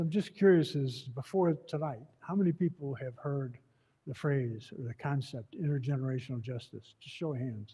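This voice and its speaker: At a moderate pace, a man speaks with a fairly high pitch, ordinary pitch variation and a dark, mellow, somewhat breathy tone. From Buffalo, New York. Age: 70s. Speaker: advocate and author, former elected official. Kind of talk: talk to community audience. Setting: room with live audience. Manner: casual, conversational with hesitations.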